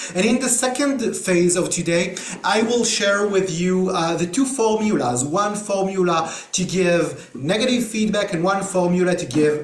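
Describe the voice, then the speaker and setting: In an Israeli accent, a high-pitched man speaks at a moderate pace with lively intonation and hardly any pauses, amid noticeable background noise and audible room echo. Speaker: trainer. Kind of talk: online workshop. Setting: video call. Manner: hesitant with many fillers.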